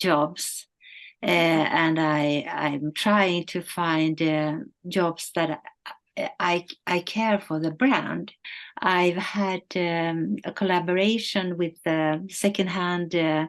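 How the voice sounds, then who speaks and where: Over a quiet background, a woman talks very slowly. Her pitch is fairly low, with ordinary variation. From northern Sweden. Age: 70s. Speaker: model and influencer. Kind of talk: interview. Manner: halting, many fillers.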